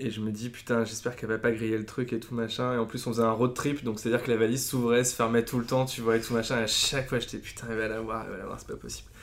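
Over noticeable background noise, a man with a medium pitch talks very fast in a flat monotone, hardly pausing at all. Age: 30s. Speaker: advertising creative. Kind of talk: casual interview.

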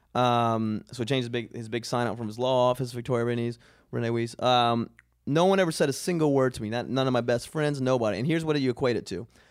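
This man talks at a very fast pace with an American accent. His medium pitch shows ordinary variation, and the recording is very clean with a silent background. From US South, coastal Georgia. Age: 30s. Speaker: stand-up comedian. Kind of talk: casual chat.

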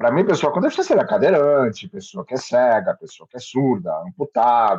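A man speaks at a fairly quick pace with a fairly high pitch, very wide pitch swings and vocal fry. The sound is dry and close, with no echo. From Brazil, Santos (São Paulo coast). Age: 50s. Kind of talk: interview.

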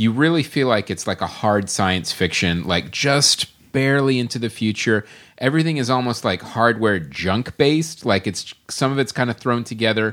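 A man has an ordinary speaking voice, medium in pitch. He speaks at a moderate pace with lively intonation. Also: very clean recording, silent background. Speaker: podcast co-host. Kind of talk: casual chat. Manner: laughs often, playful.

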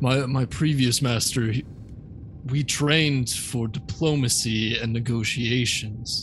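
A man speaks very slowly, keeping his intonation fairly even, while noticeable noise runs in the background. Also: medium pitch for a man. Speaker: tabletop game player. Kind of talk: casual tabletop gaming chat.

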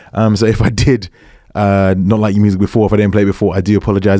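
Here a man with a British accent talks at a very fast pace. His voice is fairly low, with a dark, mellow tone. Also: very clean recording, silent background. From England. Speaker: radio DJ. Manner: energetic, warm, slangy, hyping each track and thanking listeners.

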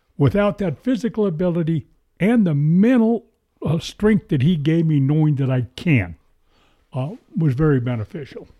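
A man with fairly high pitch and a dark, mellow tone speaks at a moderate pace. His pitch swings very widely in a dry, close sound with no echo. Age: 70s. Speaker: hunter and gym client. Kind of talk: casual chat. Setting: studio.

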